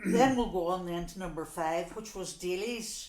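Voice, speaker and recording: Through noticeable background noise and audible room echo, a woman with a fairly low pitch talks at a moderate pace. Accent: Donegal. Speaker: local resident sharing memories. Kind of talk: oral history interview. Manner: conversational, many fillers.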